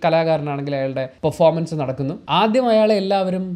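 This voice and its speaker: This man's voice sits at a fairly high pitch, carrying a dark, mellow tone and ordinary pitch variation. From Kerala, India. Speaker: YouTube vlogger; video commentator. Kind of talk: commentary monologue. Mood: earnest, reflective. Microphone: lapel.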